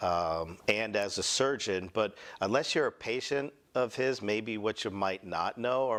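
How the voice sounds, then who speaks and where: On a very clean recording with a silent background, a man with a fairly low pitch and ordinary pitch variation speaks at a fairly slow pace. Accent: slight Boston. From Boston, US. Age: 40s. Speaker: medical spa founder, former finance executive. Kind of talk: conference presentation. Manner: casual.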